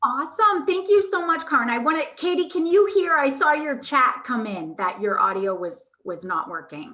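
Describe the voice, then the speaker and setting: In a raised, projected voice, the speaker goes at a moderate pace with very wide pitch swings and hardly any pauses. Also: woman, high pitch for a woman. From Vermont. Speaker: marketing agency owner. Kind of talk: workshop presentation. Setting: video call.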